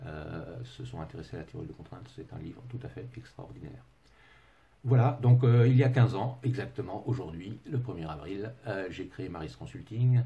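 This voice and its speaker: A man with a dark, mellow tone and vocal fry speaks at a moderate pace and medium pitch, with lively intonation and big swings in loudness. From England. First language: English (speaking French). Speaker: management consultant. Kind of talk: webinar presentation. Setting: online webinar from home. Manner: hesitant, many fillers.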